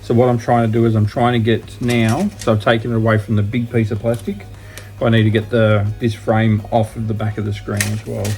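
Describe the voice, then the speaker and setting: Noticeable background noise surrounds a man with an Australian accent and a fairly low pitch. He talks at a fairly quick pace with monotone, flat intonation. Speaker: laptop repair and resale youtuber. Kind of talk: tutorial. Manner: halting.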